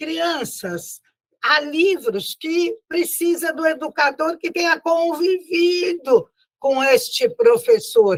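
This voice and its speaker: A woman's extremely high voice with lively intonation at a very slow pace. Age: 80s+. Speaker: spiritist lecturer and teacher. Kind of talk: lecture. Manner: warm, conversational.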